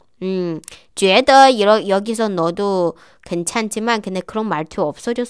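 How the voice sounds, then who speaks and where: The setting behind her is quiet. A woman talks rather slowly. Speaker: Chinese language teacher. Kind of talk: tutorial. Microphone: webcam.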